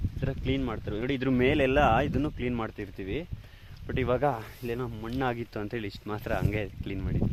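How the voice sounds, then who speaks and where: The man uses a normal speaking voice, pitched medium, and keeps his intonation fairly even. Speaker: farmer vlogger. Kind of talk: vlog narration; reflective monologue. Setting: outdoors in a field.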